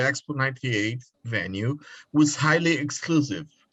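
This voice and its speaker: The speaker has a Brazilian accent and a moderate pace. Pitch varies an ordinary amount. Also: man. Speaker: PhD student. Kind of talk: reading aloud a question.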